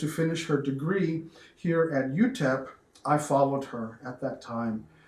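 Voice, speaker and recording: A man with an American accent talks at a moderate pace, his pitch fairly high with ordinary variation. Noticeable background noise can be heard. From Texas, inner-city Dallas. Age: 60s. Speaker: cook. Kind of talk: personal interview storytelling. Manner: hesitant, with many fillers and repeats.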